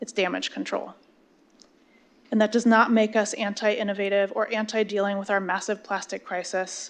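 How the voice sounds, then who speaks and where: Against a quiet background, a woman with an American accent speaks at a medium pitch. Her intonation is monotone and flat, her pace moderate. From Sonoma County area, California. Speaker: public commenter. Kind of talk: public comment at council meeting. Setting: city council meeting.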